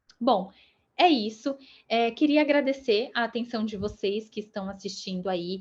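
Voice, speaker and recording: In an unremarkable speaking voice, a woman speaks at a moderate pace and medium pitch with ordinary pitch variation. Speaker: UX writer giving a talk. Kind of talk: talk closing thanks; lecture.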